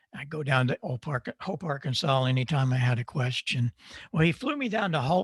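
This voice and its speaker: A man's fairly high, somewhat breathy voice at a fairly quick pace, dry and close with no echo. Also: ordinary pitch variation. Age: 80s+. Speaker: audio engineer and ham radio speaker. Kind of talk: conference talk. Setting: virtual hamfest presentation. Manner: conversational, with frequent fillers.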